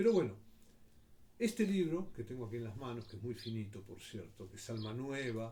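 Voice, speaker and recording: A man speaks at a medium pitch with a dark, mellow, somewhat breathy tone and lively intonation. His fairly quick delivery swings widely in loudness, with audible room echo. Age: 60s. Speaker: commentator. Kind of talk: personal reflection monologue.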